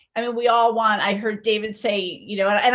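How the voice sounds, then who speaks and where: Speaking at a fairly quick pace, a woman has a fairly high-pitched voice. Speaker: media coach. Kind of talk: webinar presentation. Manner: fast.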